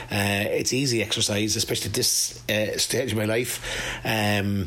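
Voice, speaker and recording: In an Irish accent, a man speaks fairly slowly in a fairly low pitch with monotone, flat intonation over noticeable background noise. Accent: Irish, Carlow. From Ireland, County Carlow. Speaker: former football manager and cyclist. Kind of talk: radio interview.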